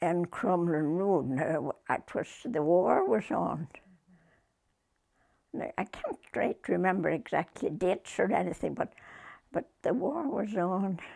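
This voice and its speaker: Speaking very slowly with long, frequent pauses, a woman uses a Northern Irish accent and a fairly low pitch. Her tone is dark and mellow, with vocal fry and lively intonation. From Northern Ireland, Limavady area. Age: 80s+. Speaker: retired post office worker. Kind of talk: interview answer.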